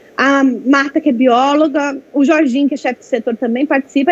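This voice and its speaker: A high-pitched woman talking at a very fast pace with ordinary pitch variation, dry and close with no echo, over noticeable background noise. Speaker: veterinarian presenting a workshop. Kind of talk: online training presentation.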